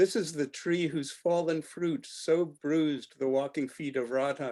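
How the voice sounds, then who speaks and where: With an unremarkable speaking voice, a man talks at a moderate pace with ordinary pitch variation. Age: 60s. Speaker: poet. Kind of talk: poetry reading. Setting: video call.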